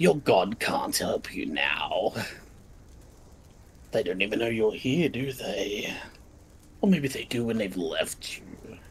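Using a put-on character voice, a man talks at a fairly slow pace with long, frequent pauses. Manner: mocking, menacing.

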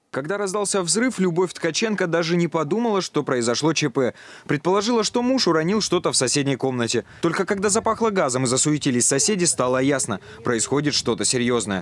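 Over noticeable background noise, a man with a fairly high pitch talks at a fairly quick pace with very wide pitch swings. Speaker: TV news reporter. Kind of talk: news reporting. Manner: formal.

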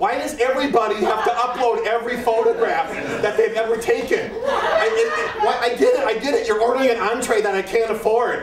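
Amid loud background noise, a man keeps to a moderate speaking pace. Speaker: comic performer. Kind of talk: comic monologue performance. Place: stage.

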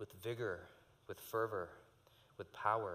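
Here a man is talking. His pace is fairly slow. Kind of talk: prayer and call to worship. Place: church.

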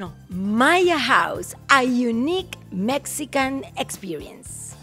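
Faint music plays behind a woman with a high pitch and very wide pitch swings. She speaks at a very slow pace with hardly any pauses. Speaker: podcast host. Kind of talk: casual podcast conversation. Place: shop. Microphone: studio mic.

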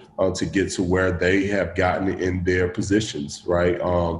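With a Southern US accent, a man speaks at a moderate pace in a low pitch with little pitch movement and a slightly mellow tone, with audible room echo. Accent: Southern American.

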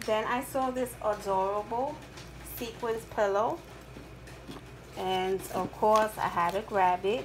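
A woman speaks at a medium pitch and a slow pace, with long, frequent pauses, ordinary pitch variation and faint background noise.

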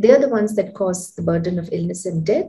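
Somewhat breathy, a woman's voice has a dark, mellow tone and ordinary pitch variation. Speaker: doctor hosting health talk. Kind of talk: host introduction. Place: home room. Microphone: webcam.

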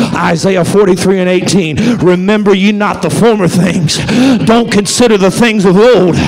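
Over light background noise, a man talks at a fairly slow pace. His pitch is high, and his intonation is fairly even. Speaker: pastor. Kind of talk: sermon. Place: church. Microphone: handheld.

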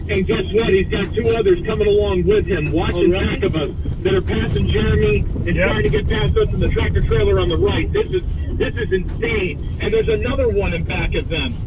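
Fairly quick speech from a man over noticeable background noise. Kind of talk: live commentary. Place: car. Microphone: phone near.

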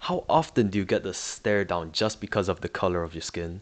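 A man with an American accent and a very deep, low pitch, set against a quiet background. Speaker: documentary subject. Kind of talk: documentary narration.

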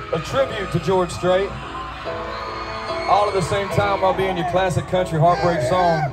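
A man talks at a moderate pace with ordinary pitch variation over clear music in the background. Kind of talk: stage banter to audience. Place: stadium.

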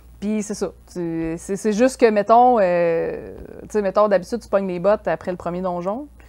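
A woman speaks at a moderate pace and medium pitch, her dark, mellow tone swinging widely in loudness, with hardly any pauses over a quiet background. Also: ordinary pitch variation. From Quebec. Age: 30s. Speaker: freelance graphic artist; guest. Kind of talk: casual chat. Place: studio.

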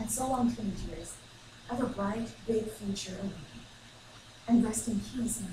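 A woman at a moderate pace with ordinary pitch variation, amid noticeable background noise and audible room echo. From China. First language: Chinese. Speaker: student giving a speech. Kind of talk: ceremonial speech. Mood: reflective, sentimental. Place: classroom. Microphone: camera far.

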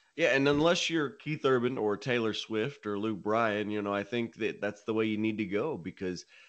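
Over a quiet background, a man talks at a moderate pace with hardly any pauses. His pitch varies in an ordinary way. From Nashville, Tennessee, US South; Tennessee. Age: 20s. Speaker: country singer-songwriter; guest. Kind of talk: interview. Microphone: studio mic.

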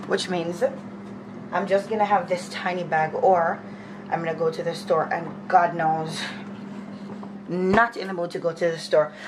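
A woman with a fairly low voice speaks at a fairly slow pace with fairly even intonation, and audible room echo is present.

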